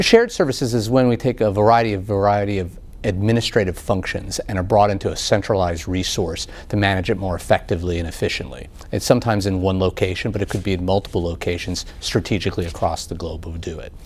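Very fast delivery with fairly even intonation. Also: man, fairly low pitch for a man. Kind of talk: interview answer. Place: studio.

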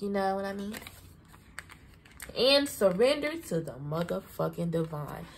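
A woman talks at a moderate pace with a Southern US accent. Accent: Southern US country. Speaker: tarot reader. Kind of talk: casual, profane, energetic. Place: home room. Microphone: phone near.

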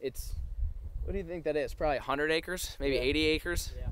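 A man is heard in a dry sound with no echo. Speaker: hunting vlogger. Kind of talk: casual vlog chat. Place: open country. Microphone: phone near.

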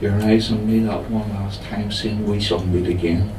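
Over noticeable background noise, a man with a fairly low pitch speaks at a fairly slow pace in a monotone, flat intonation. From Ireland. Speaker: poet reading own work. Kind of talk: poetry reading at a live pub showcase. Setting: pub venue, live audience. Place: bar.

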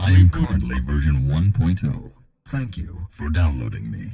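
Very deep, low pitch in a man's put-on character voice, moderate in pace. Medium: voice pack for a game companion app. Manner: dry, dutiful, humorous.

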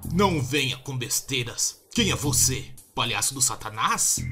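In a put-on character voice, a man talks raspily at a fairly slow pace and medium pitch, with faint music in the background. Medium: fan dub. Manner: gruff, blunt, aggressive.

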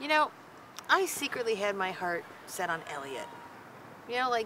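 A woman talks at a moderate pace with very wide pitch swings. The sound is dry with no echo, and background noise is noticeable. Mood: light, amused. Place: garden.

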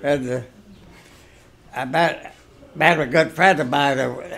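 Over light background noise, a man with an American accent talks at a fairly slow pace and fairly high pitch, with vocal fry and ordinary pitch variation. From Ohio, USA. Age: 80s+. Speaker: retired bulldozer operator. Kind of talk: interview answer. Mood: calm reminiscing. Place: home room. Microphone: phone near.

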